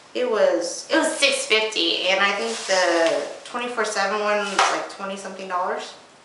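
Audible room echo surrounds a woman's voice. She keeps a moderate pace over noticeable background noise. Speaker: beauty vlogger. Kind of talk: casual haul vlog chat. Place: bathroom. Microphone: camera far.

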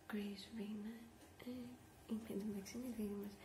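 Noticeable background noise sits behind a soft-spoken woman who is whispering. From Greece. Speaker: ASMR vlogger. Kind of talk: ASMR rambling. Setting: office. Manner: soft-spoken, whispered. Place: home room. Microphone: webcam.

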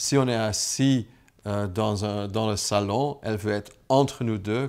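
A man with a fairly low pitch and ordinary pitch variation. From Flanders, Belgium. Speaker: businessman. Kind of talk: personal testimony to camera. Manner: hesitant, many filler sounds. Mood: warm, reflective. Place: home room.

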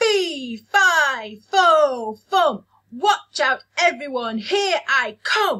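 In a put-on character voice, the speaker talks at a very slow pace with high pitch.

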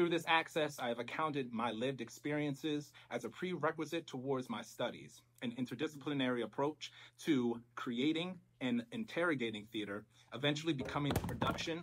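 A fairly quick-paced man with ordinary pitch variation. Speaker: presenter. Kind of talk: academic presentation. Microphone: camera far.

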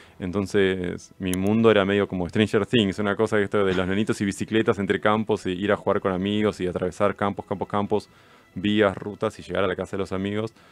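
In a Rioplatense accent, a man talks at a fairly quick pace, fairly low and flat in a monotone, with a dry sound and no echo. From Argentina, Mar del Plata; Argentina. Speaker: film director; guest. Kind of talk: interview. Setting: radio studio. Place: studio. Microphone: studio mic.

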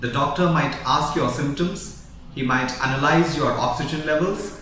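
A man at a moderate pace, audible room echo and light background noise. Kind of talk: health advice talk to camera.

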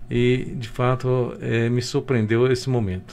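Over light background noise, a man talks at a medium pitch with fairly even intonation. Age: 60s. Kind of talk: radio interview. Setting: radio studio. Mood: grateful, reflective. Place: office. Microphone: video call.

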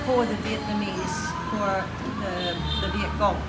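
Music runs in the background while a woman talks. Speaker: interviewee. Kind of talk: interview answer. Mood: reflective storytelling. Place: cafe.

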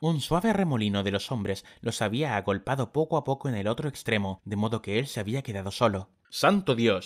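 In an unremarkable speaking voice, a man talks fairly quickly at a medium pitch with lively intonation and hardly any pauses, on a very clean recording with a silent background and a dry, close sound with no echo. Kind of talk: dramatic audiobook narration.

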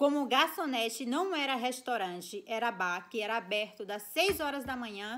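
Speaking in a Brazilian accent, a woman uses a fairly high pitch and lively intonation. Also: quiet background. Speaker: vlogger. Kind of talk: casual storytelling vlog. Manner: animated. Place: home room. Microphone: phone near.

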